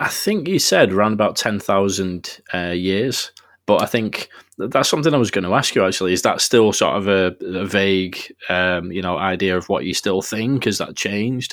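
The man's fairly low voice, with ordinary pitch variation at a moderate pace, comes through a very clean recording with a silent background. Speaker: podcast host. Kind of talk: casual interview.

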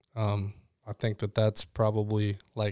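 The recording is very clean, with a silent background and a dry, close sound with no echo. A man with an American accent speaks at a moderate pace in a fairly low pitch, his intonation monotone and flat. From Illinois (Chicago, Rockford). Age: 40s. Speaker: former soldier, police officer and coach. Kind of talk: casual chat.

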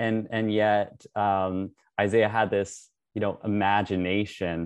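A man with a Canadian accent talks at a fairly low pitch and fairly even intonation, in a dry, close sound with no echo and a quiet background. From Russia then Canada. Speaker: painter. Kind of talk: interview. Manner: halting, many fillers.

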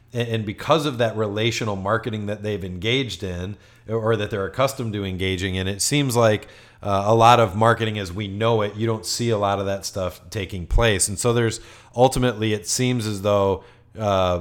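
A man with an unremarkable speaking voice and fairly low pitch talks at a fairly quick pace with fairly even intonation, on a very clean recording with a silent background. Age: 40s. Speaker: marketing agency executive, podcast co-host. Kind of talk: casual business discussion.

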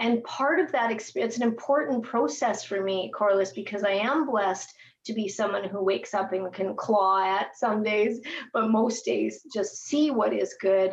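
With an unremarkable speaking voice, a woman of fairly high pitch keeps a moderate pace and ordinary pitch variation. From western Canada, raised in Edmonton, Alberta. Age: 50s. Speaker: entrepreneur and speaker. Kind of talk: interview.

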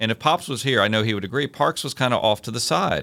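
A man with a Virginia accent speaks at a fairly quick pace in a fairly low, bright and sharp voice, on a very clean recording with a silent background. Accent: Southern US (Virginia). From US South, Virginia (Hopewell, near Richmond). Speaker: city parks administrator. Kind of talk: interview.

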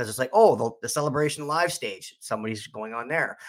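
The recording is very clean, with a silent background. A man speaks at a fairly quick pace with lively intonation. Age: 40s. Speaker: podcaster and fan convention attendee. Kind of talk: casual chat. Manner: halting, many false starts.

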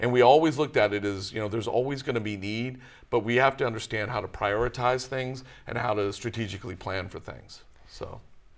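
Speaking very fast, a man with an American accent keeps a medium pitch. His intonation is fairly even. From Texas, Dallas area. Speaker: local election candidate. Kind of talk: interview. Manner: hesitant, many fillers.

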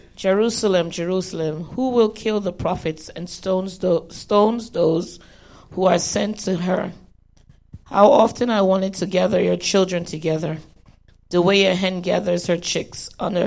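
An unremarkable speaking voice keeps a fairly even intonation. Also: woman. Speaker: Bible study participant. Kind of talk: reading aloud.

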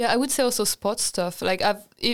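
A woman with a French accent, medium pitch and fairly even intonation, on a very clean recording with a silent background. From France. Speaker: design student. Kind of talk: casual chat.

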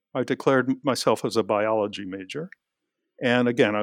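A man with an American accent and an ordinary speaking voice, medium in pitch, at a moderate pace with ordinary pitch variation, in a very clean recording with a silent background and a dry, close sound with no echo. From New York City, Queens. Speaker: professor. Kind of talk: interview. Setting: office.

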